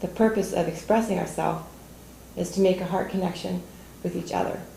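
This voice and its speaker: A woman speaks at a fairly quick pace. Room echo is audible. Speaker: toastmasters club member giving a speech. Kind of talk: prepared speech. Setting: studio with audience.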